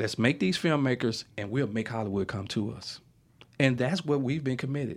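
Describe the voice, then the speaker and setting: Here a man talks with a Mississippi accent. His pitch is medium, with ordinary variation. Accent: US Southern, Mississippi. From Mississippi, Yazoo City. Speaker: writer and filmmaker. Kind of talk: interview, casual chat. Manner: animated storytelling.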